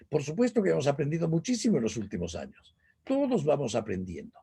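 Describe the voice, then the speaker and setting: The man's voice has a dark, mellow tone. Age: 70s. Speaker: business speaker. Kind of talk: lecture.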